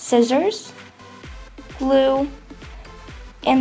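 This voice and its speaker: Music can be heard in the background. A woman talks over it. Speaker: craft tutorial maker. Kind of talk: casual craft tutorial voice-over.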